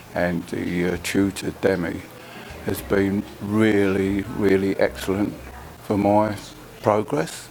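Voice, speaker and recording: Amid noticeable background noise, a man with a fairly low pitch talks very slowly with fairly even intonation. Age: 70s. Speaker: computer course student. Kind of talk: testimony.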